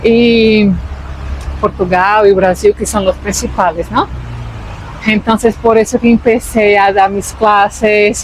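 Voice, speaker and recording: At a very slow pace with long, frequent pauses, a woman speaks over noticeable background noise. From Brazil. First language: Portuguese (speaking Spanish). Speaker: vlogger. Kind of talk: casual chat.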